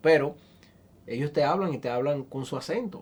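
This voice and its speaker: The recording is very clean with a silent background, and a man talks at a moderate tempo, his pitch varying in an ordinary way. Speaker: interviewer. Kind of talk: interview.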